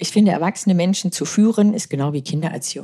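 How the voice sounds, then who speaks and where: A woman's fairly low, somewhat breathy voice, dark and mellow in tone, with ordinary pitch variation. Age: 30s. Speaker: former fighter pilot and crisis management lecturer. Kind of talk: interview.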